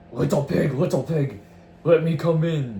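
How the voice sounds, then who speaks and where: Putting on a character voice, a man growls in a raspy, fairly high pitch at a moderate pace, with clear background noise behind him. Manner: snarling.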